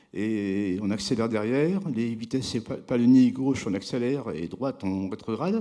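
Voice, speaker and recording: Lively in intonation, a man talks at a medium pitch with a dark, mellow tone. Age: 60s. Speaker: award-winning craftsman. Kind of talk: award ceremony interview. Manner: halting.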